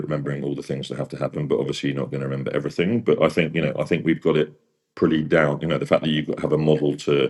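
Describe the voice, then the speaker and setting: A man with a very deep, low pitch and vocal fry talks very fast in fairly even intonation. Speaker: opera singer and vocal mentor. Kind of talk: interview.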